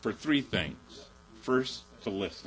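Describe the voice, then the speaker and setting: The speaker has vocal fry and talks with an Upper Midwest accent. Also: man. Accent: Upper Midwest American. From Chippewa Valley, Wisconsin. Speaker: peace activist, military parent. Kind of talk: personal testimony talk. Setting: mosque event with audience.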